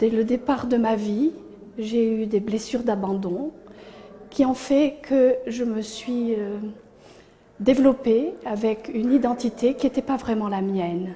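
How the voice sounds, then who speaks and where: A woman speaks very slowly at a fairly high pitch, with long, frequent pauses. Noticeable background noise runs under her voice. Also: ordinary pitch variation. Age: 60s. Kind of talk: testimony. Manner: hesitant, frequent fillers.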